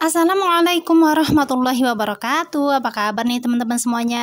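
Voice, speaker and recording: The voice moves at a very fast pace with lively intonation. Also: woman. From Indonesia. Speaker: homemaker vlogger and Quran teacher for children. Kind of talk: casual vlog narration. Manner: friendly, chatty. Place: home room. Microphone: camera far.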